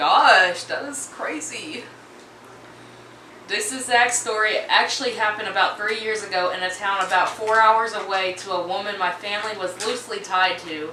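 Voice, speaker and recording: Amid noticeable background noise and audible room echo, a woman with a medium pitch speaks at a moderate pace with ordinary pitch variation. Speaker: YouTuber reading Reddit stories. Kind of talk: reading aloud with casual commentary. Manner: stumbling over words.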